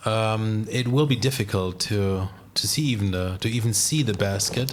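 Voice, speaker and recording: A man with a German accent speaks at a fairly low pitch. His loudness stays very even, and audible room echo surrounds him. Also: ordinary pitch variation, moderate pace. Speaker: disc golf commentator. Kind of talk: live commentary.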